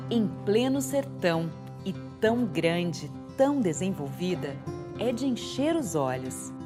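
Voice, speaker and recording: A woman speaks with very wide swings in pitch. Music plays in the background. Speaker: voice-over artist. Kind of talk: documentary narration. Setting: home studio. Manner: friendly, conversational.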